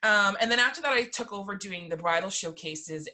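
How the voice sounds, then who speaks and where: A woman with a Canadian accent talks very fast, her tone bright and sharp and her intonation lively. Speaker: childcare provider and community volunteer. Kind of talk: guest talk at video meeting.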